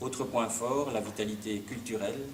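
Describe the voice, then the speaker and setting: A man at a moderate pace, fairly low in pitch, with fairly even intonation amid audible room echo and noticeable background noise. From Belgium, Hainaut (Ploegsteert). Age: 60s. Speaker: local politician. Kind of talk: press conference. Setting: conference room with press. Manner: halting, many hesitations.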